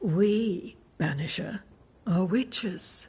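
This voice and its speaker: A female-sounding voice, raspy and at a middle pitch, performs a put-on character voice. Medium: video game.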